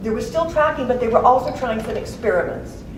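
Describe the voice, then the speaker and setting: A woman speaks over noticeable background noise. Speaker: poet and author. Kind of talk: author talk introducing a poetry reading. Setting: live reading at a college event.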